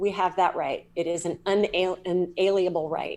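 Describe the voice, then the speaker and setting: At a fairly slow pace, a woman with a Southern US accent speaks at a medium pitch. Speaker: psychic medium and energy healer. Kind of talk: podcast interview. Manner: animated.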